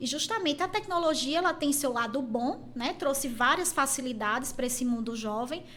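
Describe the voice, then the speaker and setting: In a Pernambuco accent, a woman speaks at a moderate pace. Her pitch is high, with ordinary variation. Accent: Pernambuco accent, kept. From Pernambuco, Brazil. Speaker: university teacher and college head. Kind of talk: podcast interview.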